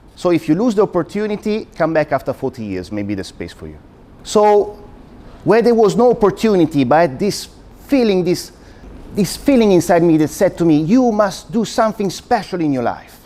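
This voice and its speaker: A man's high-pitched voice with an Italian accent and lively, bouncing intonation. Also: moderate pace. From Italy. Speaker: university lecturer. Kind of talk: public talk.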